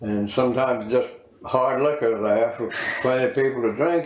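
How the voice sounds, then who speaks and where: A man with an American accent speaks at a medium pitch and a fairly slow pace with fairly even intonation. Audible room echo and noticeable background noise are present. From Virginia. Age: 80s+. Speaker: local elder interviewee. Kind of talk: oral history interview. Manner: halting, many fillers.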